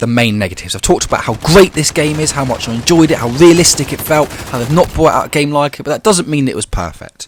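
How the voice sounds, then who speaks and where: A man speaks very fast with a British accent and a fairly high pitch. His pitch swings very widely. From UK. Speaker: gaming YouTuber. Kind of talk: video commentary.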